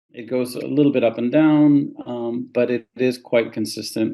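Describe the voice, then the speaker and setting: In a Spanish accent, a man speaks fairly slowly with flat, monotone intonation. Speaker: immigration lawyer. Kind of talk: podcast interview.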